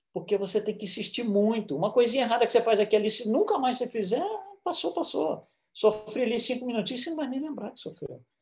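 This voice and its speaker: A man speaks with lively intonation. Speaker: spiritist lecturer. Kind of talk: lecture.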